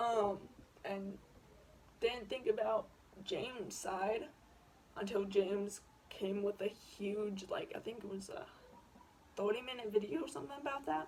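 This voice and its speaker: Against noticeable background noise, the speaker goes at a fairly slow pace with long, frequent pauses. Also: woman, medium pitch for a woman, ordinary pitch variation. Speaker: YouTuber. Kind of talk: casual commentary vlog. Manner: hesitant, many fillers.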